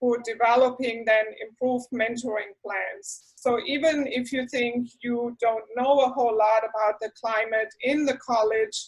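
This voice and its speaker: A woman with a high pitch talks at a fairly slow pace, her intonation fairly even. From southwest Germany, rural area near Heidelberg and Stuttgart. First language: German. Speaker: university professor. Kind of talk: orientation talk.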